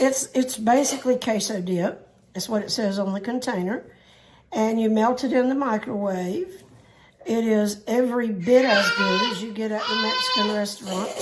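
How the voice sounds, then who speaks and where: Noticeable background noise and audible room echo surround the voice. A woman with a fairly high pitch speaks with a Southern US accent. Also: ordinary pitch variation, moderate pace. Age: old. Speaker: cooking channel host. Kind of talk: cooking tutorial. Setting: home kitchen. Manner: chatty, folksy.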